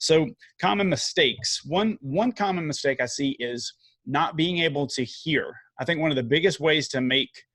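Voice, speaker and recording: Speaking in a Southern US accent, a man's pitch varies in an ordinary way. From US South. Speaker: video marketing coach. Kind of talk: podcast interview. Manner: casual, many fillers.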